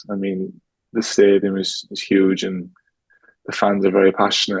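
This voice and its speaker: A man with an Irish accent at a fairly low pitch. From Ireland. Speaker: professional footballer. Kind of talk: casual interview. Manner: fast.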